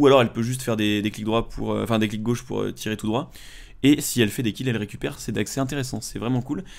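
Talking at a very fast pace, a man keeps his medium-pitched voice fairly even in intonation. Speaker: gaming YouTuber. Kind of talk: gameplay commentary. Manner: casual, hesitant with fillers. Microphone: headset.

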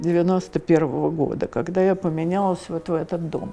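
A woman talks at a fairly slow pace. Faint music sits in the background. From Moscow. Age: 80s+. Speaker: elderly homeowner interviewee. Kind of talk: interview answer. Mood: reflective, warm storytelling.

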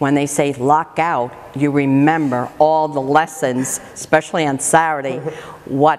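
A woman's very deep, low voice, fairly even in intonation, at a fairly slow pace. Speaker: interviewee. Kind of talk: interview answer. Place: gym.

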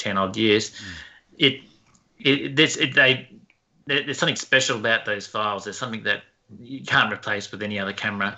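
A man's ordinary speaking voice with ordinary pitch variation. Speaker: professional photographer. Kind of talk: casual chat.

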